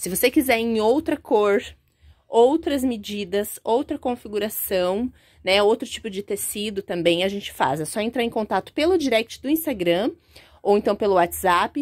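At a moderate pace and with lively intonation, an ordinary speaking voice comes over a quiet background. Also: woman, fairly high pitch for a woman. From Brazil. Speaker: small business owner presenting products. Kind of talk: product demonstration. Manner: casual, conversational. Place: workshop. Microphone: phone near.

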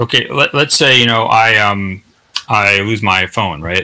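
Here a man speaks at a fairly low pitch with ordinary pitch variation. His pace is fairly slow, and the background is quiet. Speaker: Islamic scholar. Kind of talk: panel Q&A. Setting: video call. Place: home room.

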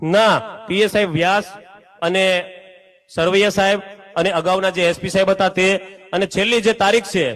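This man speaks in a high pitch with monotone, flat intonation. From Gujarat, Saurashtra (Bhavnagar district village). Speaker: villager making a complaint. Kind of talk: public statement to press and gathering.

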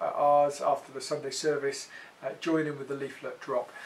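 A man's voice at a moderate pace. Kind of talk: announcement update to congregation. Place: home room.

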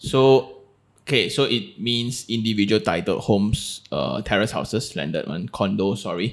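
With a Malaysian accent, a man speaks at a moderate pace in a fairly low voice with vocal fry. His intonation is lively, and the background is quiet. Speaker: podcast host. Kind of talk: casual interview. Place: studio. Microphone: studio mic.

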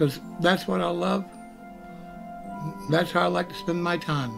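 Clear music plays in the background. The speaker talks at a fairly quick pace. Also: man. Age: 60s. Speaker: gaming livestreamer. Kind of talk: casual talk to camera. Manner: enthusiastic. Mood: warm, enthusiastic. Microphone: webcam.

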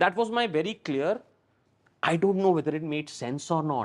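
With lively intonation and a very fast pace, a man speaks over a quiet background. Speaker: TV and film actor; actor guest. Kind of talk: interview; interview answer. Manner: talkative. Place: studio. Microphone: lapel.

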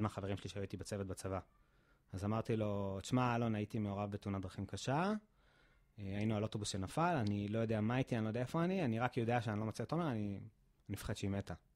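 Speaking at a very fast pace, a man uses a fairly low pitch. The background is quiet. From Israel, central (near Kfar Saba); Israel. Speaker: physiotherapist; podcast guest. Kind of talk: interview testimony. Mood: emotional recollection of tragedy. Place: gym. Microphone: studio mic.

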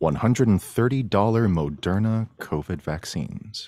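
A man speaks with lively intonation, the sound dry with no echo against a quiet background. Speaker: tech show producer, guest segment host. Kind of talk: casual podcast banter, reading headlines. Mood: playful, relaxed. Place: home room. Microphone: studio mic.

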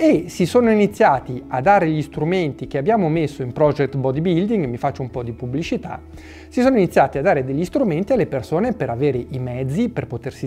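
A man speaking at a fairly quick pace over faint background music. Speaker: fitness channel host. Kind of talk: opinion talk to camera. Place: home room.

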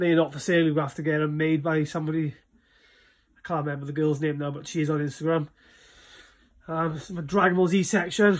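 Against a quiet background, a man talks in a flat, monotone way. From Wales. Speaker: collector giving a room tour. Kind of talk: casual talk to camera. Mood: shy, friendly first video. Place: home room. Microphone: phone near.

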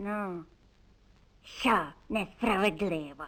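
A female-sounding cartoonish character voice sits at a medium pitch. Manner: grumbling, fussy.

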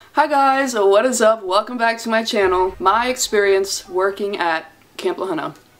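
A woman is speaking at a moderate pace. Her pitch variation is ordinary. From US, Delaware. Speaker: YouTuber. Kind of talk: vlog-style casual monologue. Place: home room. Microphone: phone near.

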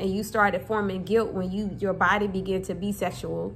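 A woman's voice with vocal fry over light background noise. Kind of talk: casual vlog chat. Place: kitchen. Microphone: phone near.

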